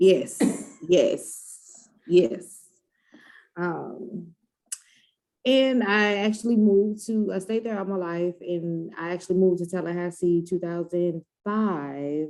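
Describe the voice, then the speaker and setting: With an American accent, a woman with a fairly low pitch and a dark, mellow tone speaks at a very slow pace. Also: ordinary pitch variation. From US Midwest, East St. Louis, Illinois. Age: 30s. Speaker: breast cancer survivor. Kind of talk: interview testimony.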